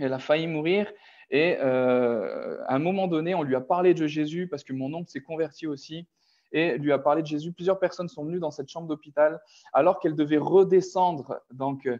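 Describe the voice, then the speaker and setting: At a moderate pace, a man speaks with fairly even intonation, his fairly high pitch carrying a dark, mellow tone. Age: 30s. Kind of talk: personal testimony. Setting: online video call. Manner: halting, many hesitations.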